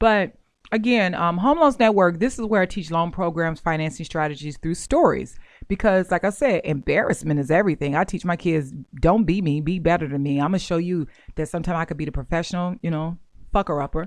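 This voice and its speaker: A woman's plain, everyday voice, fairly low in pitch, with ordinary pitch variation, a fairly quick pace and a quiet background. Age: 40s. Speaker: podcast host, mortgage and real estate educator. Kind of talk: casual monologue.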